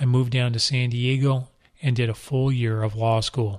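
In a very clean recording with a silent background, a man with an American accent has a normal speaking voice, speaking at a medium pitch and a moderate pace with fairly even intonation. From Southern California. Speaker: retired police deputy chief, podcast host. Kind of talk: scripted narration.

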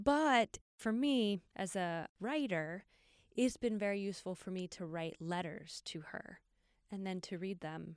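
A woman's normal speaking voice at medium pitch and a fairly slow pace, with lively intonation and a dry, close sound with no echo on a very clean recording with a silent background. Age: 40s. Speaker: podcast host and writer. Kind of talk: casual chat.

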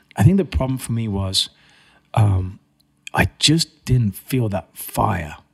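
With music in the background, a man with a slight English accent speaks very slowly at a fairly low pitch, using lively intonation and long, frequent pauses, in a dry, close sound with no echo. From England, Cambridge. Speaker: trade show and magazine managing director. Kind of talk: casual interview chat.

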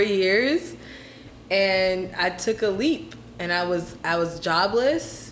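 There is a woman speaking with lively intonation. Noticeable background noise and audible room echo surround her voice. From Atlanta, Georgia. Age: 30s. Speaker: realtor and flight attendant. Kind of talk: casual chat.

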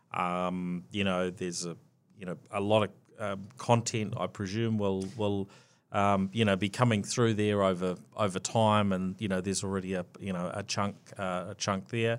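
A man with a New Zealand accent speaks at a moderate pace and a fairly low pitch, his intonation monotone and flat. The recording is very clean, with a silent background. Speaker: podcast host. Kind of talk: interview. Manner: hesitant, filler-heavy.

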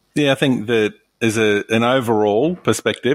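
Fairly even intonation and an Australian accent come through on a very clean recording with a silent background. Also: man. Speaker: hospitality podcast co-host. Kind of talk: casual discussion.

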